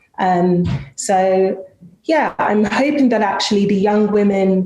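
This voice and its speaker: A woman's medium-pitched voice comes through with noticeable background noise and audible room echo. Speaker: panel moderator in tech. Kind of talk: panel discussion.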